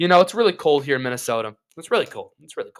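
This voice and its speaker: His tone comes across bright and sharp. It belongs to a man. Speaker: sports podcaster. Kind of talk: casual chat. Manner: upbeat, animated; loud.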